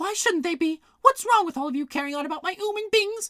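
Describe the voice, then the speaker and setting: A put-on, squeaky character voice at an extremely high pitch and very fast pace. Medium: read story. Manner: imperious, snappish.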